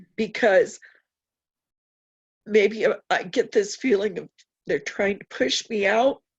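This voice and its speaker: Long, frequent pauses break up very slow speech that has ordinary pitch variation. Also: woman. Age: 60s. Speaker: workshop participant. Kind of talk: personal sharing on group call.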